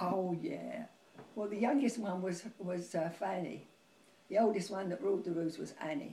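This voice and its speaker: Speaking with a Cockney accent at a moderate pace, a woman has a dark, mellow tone and vocal fry. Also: medium pitch for a woman, ordinary pitch variation. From London. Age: 80s+. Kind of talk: interview answer.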